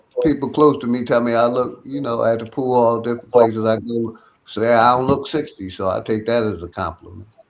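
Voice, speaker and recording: A man speaks in a normal speaking voice at a moderate pace. His pitch is medium and his intonation fairly even. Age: 60s. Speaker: guest. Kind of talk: casual chat.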